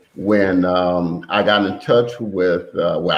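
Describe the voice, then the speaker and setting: A man is speaking. He has an American accent. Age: 60s. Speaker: son of a brewery founder. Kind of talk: podcast interview.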